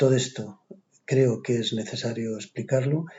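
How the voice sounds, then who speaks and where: Somewhat breathy speech at a moderate pace with fairly even intonation. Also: man. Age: 60s. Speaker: physician. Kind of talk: lecture.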